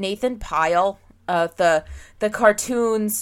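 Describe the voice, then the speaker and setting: In a very clean recording with a silent background, a woman with an American accent and a plain, everyday voice speaks at a medium pitch with ordinary variation. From Pennsylvania. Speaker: podcast host. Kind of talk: casual chat.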